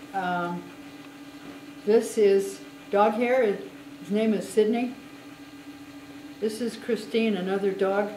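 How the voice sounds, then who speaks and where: The speech moves at a very slow pace with long, frequent pauses. Audible room echo and light background noise are present. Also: woman, ordinary pitch variation. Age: 80s+. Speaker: glass artist and spinner. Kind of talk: casual chat; casual guided tour explanation. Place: shop. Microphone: phone near.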